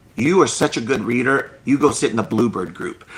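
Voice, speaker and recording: The speech is very fast, with noticeable background noise. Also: man. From US (immigrant from Cambodia as small child). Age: 50s. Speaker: children's book author. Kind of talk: interview. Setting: live stream video call.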